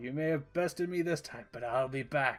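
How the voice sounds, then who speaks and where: A man puts on a growling character voice at a fairly high pitch and a moderate pace. Music plays in the background. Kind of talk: theatrical, melodramatic.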